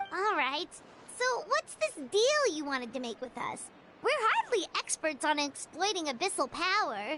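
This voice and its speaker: A put-on character voice swings very widely in pitch at a moderate pace. Clear background noise is present. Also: woman, extremely high pitch for a woman. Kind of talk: streamer reading game dialogue aloud. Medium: game stream. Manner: casual, questioning.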